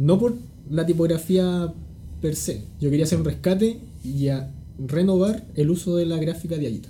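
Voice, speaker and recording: Audible room echo surrounds a man speaking at a high pitch and a moderate pace with ordinary pitch variation. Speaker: type designer. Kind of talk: casual interview. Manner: calm, laid-back.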